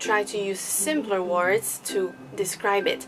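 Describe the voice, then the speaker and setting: With music in the background, a woman in a Slovak accent speaks at medium pitch with ordinary pitch variation. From Slovakia. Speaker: English teacher, vlogger. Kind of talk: educational vlog. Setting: at home in her room.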